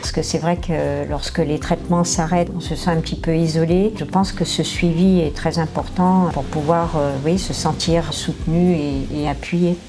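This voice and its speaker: Amid noticeable background noise and audible room echo, a woman with a fairly low pitch speaks at a fairly slow pace in monotone, flat intonation, with hardly any pauses. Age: 60s. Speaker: cancer patient. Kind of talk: testimony.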